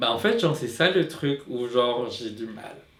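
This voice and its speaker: The voice moves at a moderate pace. Room echo is audible. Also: man. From Philippines. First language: Tagalog (speaking French). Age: 20s. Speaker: drag queen. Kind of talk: personal testimony. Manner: halting, many repetitions and fillers.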